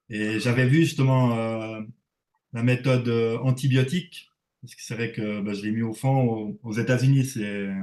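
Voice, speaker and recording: In a Swiss accent, the speaker talks at a fairly slow pace with fairly even intonation. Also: man, medium pitch for a man. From Switzerland. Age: 40s. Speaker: reef aquarium hobbyist. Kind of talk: casual interview. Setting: livestream.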